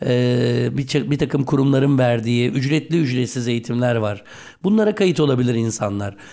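Moderate pace, ordinary pitch variation and a dark, mellow tone. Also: man, medium pitch for a man. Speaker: radio host. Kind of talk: radio interview. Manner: low-energy.

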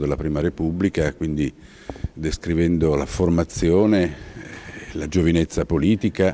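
A man with a very deep, low pitch speaks over light background noise. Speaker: interviewee. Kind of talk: interview answer. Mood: earnest, reflective. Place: hall. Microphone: handheld.

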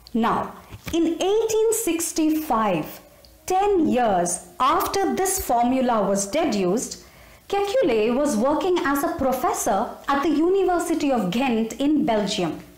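Very slowly and with very wide pitch swings, a woman speaks at a high pitch and very even loudness, with audible room echo. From India. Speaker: storyteller. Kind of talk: storytelling narration. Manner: animated. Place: home room. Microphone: phone near.

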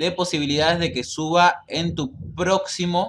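A man's voice is heard with light background noise. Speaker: gamer streamer. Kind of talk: gameplay tutorial commentary. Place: home room. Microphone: webcam.

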